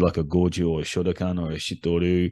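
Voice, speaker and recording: A man with an Australian accent speaks at a moderate pace with a very deep, low pitch. His tone is dark and mellow against a quiet background. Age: 40s. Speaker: karate instructor. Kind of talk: solo podcast monologue. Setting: home recording.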